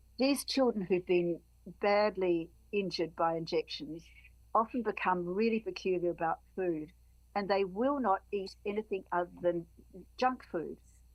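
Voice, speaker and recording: Medium-pitched female speech in an Australian accent. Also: ordinary pitch variation, moderate pace. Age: 70s. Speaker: activist. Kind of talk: podcast interview. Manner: halting.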